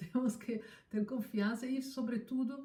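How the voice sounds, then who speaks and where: Somewhat breathy with a dark, mellow tone, a woman speaks with ordinary pitch variation. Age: 60s. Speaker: scientist. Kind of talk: interview. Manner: halting.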